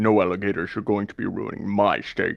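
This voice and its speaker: At a fairly quick pace, a man performs a put-on character voice with fairly low pitch. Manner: cat-like.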